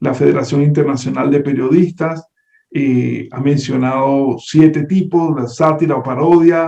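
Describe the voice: A man's fairly slow, medium-pitched voice in a Venezuelan accent, dark and mellow with vocal fry and fairly even intonation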